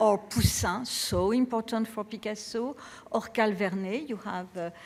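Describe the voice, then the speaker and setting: Speaking with a French accent, a woman talks at a fairly slow pace with ordinary pitch variation. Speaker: art curator. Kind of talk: lecture. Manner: halting, many fillers.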